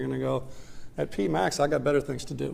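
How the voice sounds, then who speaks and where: Very fast speech from a man, with audible room echo. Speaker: economics professor. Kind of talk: lecture.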